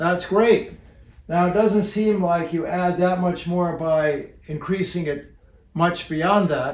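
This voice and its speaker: A man speaks at a high pitch and a very slow pace. His intonation stays fairly even. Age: 60s. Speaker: health educator. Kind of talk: educational talk. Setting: seated in a chair. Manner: relaxed.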